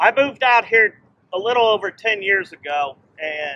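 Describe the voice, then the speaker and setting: A man's raised, projected voice, bright and sharp, at a fairly slow pace in a dry, close sound with no echo. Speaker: friend giving tribute. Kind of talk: memorial tribute speech. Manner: loud. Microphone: no microphone.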